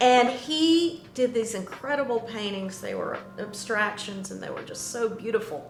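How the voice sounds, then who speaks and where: This woman's fairly high voice moves with lively intonation and hardly any pauses, over noticeable background noise and audible room echo. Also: fairly slow pace, big swings in loudness. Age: 60s. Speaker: artist and sculptor. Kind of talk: interview.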